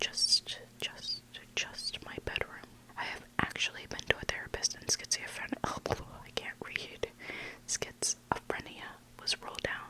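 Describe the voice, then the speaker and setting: The speaker whispers at a fairly slow pace with long, frequent pauses over noticeable background noise. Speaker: ASMR content creator. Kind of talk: ASMR story reading. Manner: whispered.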